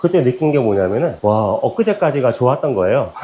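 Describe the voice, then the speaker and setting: Very wide pitch swings at a fairly quick pace. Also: man. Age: 40s. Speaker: business owner and home fitness vlogger. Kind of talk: casual monologue while cycling. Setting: at home on indoor bike. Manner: halting, with many fillers and repetitions.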